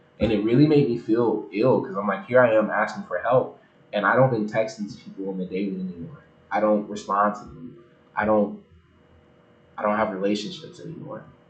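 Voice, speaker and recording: Fairly quick speech in an American accent, with ordinary pitch variation, big swings in loudness and audible room echo. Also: man, fairly low pitch for a man. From United States. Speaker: online faith creator. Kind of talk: livestream bible reading and commentary. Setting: livestream with chat. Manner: fast; speed reading.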